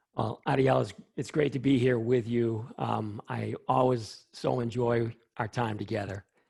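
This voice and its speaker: A man speaks with a somewhat breathy voice. His intonation stays fairly even. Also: medium pitch for a man, fairly slow pace. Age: 60s. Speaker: scientist. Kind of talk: interview.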